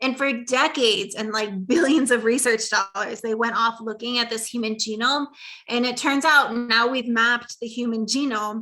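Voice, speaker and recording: Here is a woman with an ordinary speaking voice, pitched fairly high. She keeps a moderate pace and fairly even intonation. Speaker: lecturer on mindset. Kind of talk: lecture.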